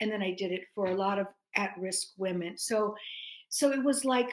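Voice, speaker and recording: Moderate pace and ordinary pitch variation, in a Greek accent. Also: woman. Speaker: counselor and author. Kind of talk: interview. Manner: hesitant, many fillers.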